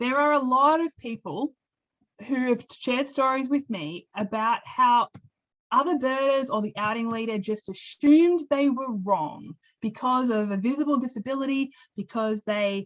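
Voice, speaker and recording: A woman with an Australian accent talks at a moderate pace in a high pitch. Her tone is animated, with ordinary pitch variation. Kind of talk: webinar presentation.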